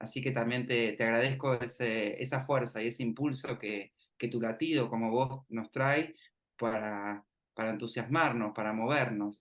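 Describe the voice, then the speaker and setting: A man speaks at a fairly slow pace with a Rioplatense accent. His pitch is medium and his intonation fairly even. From Argentina, Mar del Plata. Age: 30s. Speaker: university researcher, interviewer. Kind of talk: interview conversation.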